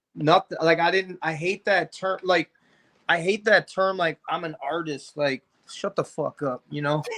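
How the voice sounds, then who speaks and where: This man speaks at a fairly slow pace in a high voice with a bright, sharp tone and fairly even intonation, the sound dry and close with no echo. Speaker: rapper. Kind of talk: casual interview chat.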